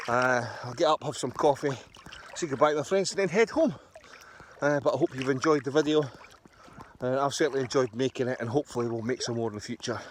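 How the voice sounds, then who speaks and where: A man talking at a very fast pace with ordinary pitch variation, over noticeable background noise. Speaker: motorcycle touring vlogger. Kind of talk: casual vlog. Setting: outdoors. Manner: soft-spoken.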